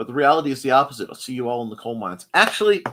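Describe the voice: A man talks at a very fast pace with big pitch swings and a fairly bright tone. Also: medium pitch for a man.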